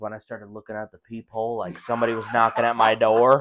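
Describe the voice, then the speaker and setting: A man with an Upper Midwest accent at a very fast pace, in a dry, close sound with no echo. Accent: Upper Midwest American. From Wisconsin. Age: young. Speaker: podcast co-host. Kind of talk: casual chat.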